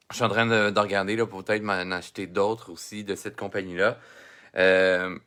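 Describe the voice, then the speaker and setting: The recording is very clean, with a silent background. A man speaks at a fairly slow pace with a Quebec accent. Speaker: drawing teacher. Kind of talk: live-streamed drawing lesson. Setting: Facebook live stream, computer and camera. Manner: hesitant, many fillers.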